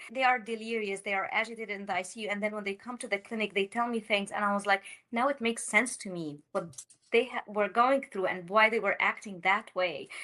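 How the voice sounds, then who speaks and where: A woman talks at a very fast pace with an Arabic accent. Her fairly high voice has a bright, sharp tone and fairly even intonation. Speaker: critical care physician. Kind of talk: podcast interview.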